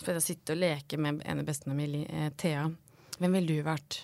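A woman speaks at a fairly quick pace with a very deep, low pitch. The recording is very clean, with a silent background. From Norway, Hedmark (near Lillehammer). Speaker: art and fashion historian. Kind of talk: casual interview chat. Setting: podcast studio.

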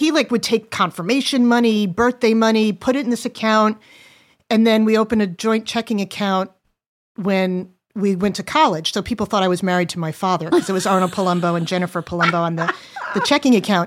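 In an unremarkable speaking voice, a woman talks fairly quickly at a medium pitch with ordinary pitch variation. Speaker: adult daughter of a guest. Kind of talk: casual conversation.

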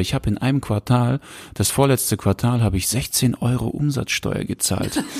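The sound is dry and close with no echo as a man talks at a medium pitch and moderate pace. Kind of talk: casual chat. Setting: home recording, sitting close together. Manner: animated. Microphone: very close to the mic.

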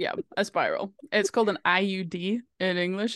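In a Norwegian accent, a woman talks with ordinary pitch variation. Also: dry, close sound with no echo. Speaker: podcast co-host. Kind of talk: casual chat.

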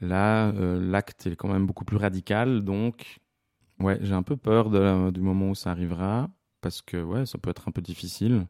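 A man's fairly low, dark, mellow voice at a moderate pace with fairly even intonation, dry, close sound with no echo, and a very clean recording with a silent background. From Switzerland, La Chaux-de-Fonds (Neuchâtel). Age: 30s. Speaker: stage technician. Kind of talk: personal testimony interview. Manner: hesitant, many fillers and repetitions.

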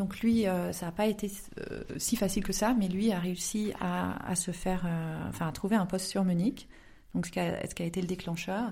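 Medium in pitch, this woman's voice is somewhat breathy, with a dark, mellow tone. She keeps a moderate pace and fairly even intonation. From southern France (Aix-en-Provence). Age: 30s. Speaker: novelist. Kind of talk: interview. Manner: hesitant, many fillers.

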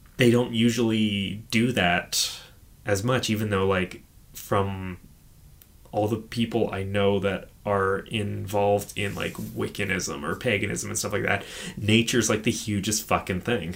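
With a plain, everyday voice, a man talks at a fairly slow pace, his fairly low pitch following a fairly even intonation. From Edmonton, Alberta, Canada. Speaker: podcast host. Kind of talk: casual chat, podcast discussion of horror films.

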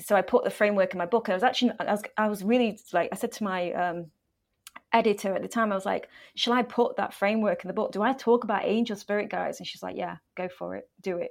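Very fast speech with an English accent, in a very clean recording with a silent background. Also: woman. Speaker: author and life coach. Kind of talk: interview.

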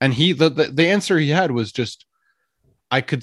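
This man has an ordinary speaking voice with a Canadian accent and ordinary pitch variation. He talks at a fairly quick pace against a quiet background. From Canada, Ottawa. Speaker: podcaster. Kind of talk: casual chat.

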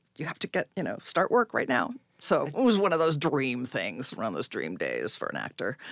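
A woman with an American accent talks at a moderate pace, the sound dry and close with no echo. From California. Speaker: actor and acting coach. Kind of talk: casual chat.

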